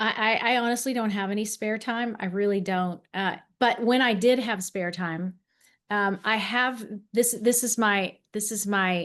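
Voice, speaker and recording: Against a quiet background, a woman with an American accent speaks fairly slowly in a fairly high pitch with fairly even intonation. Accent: slight Southern Texan, toned down. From Texas, Dallas. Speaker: former TV host, speaker and camera coach. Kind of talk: interview conversation.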